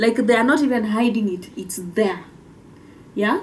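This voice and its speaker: A woman with a Kenyan accent speaks with lively intonation in a fairly high voice. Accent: Kimbere (Mbeere) Kenyan. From Kenya, Mbeere (Embu County). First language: Kimbere (Mbeere). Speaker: podcast co-host. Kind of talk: casual explainer talk.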